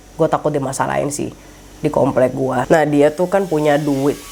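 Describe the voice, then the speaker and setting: Music plays behind a woman with a very deep, low voice. She keeps a moderate pace and fairly even intonation. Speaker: horror storyteller. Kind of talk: casual true-crime storytelling. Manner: code-switching Indonesian and English, casual Jakarta slang.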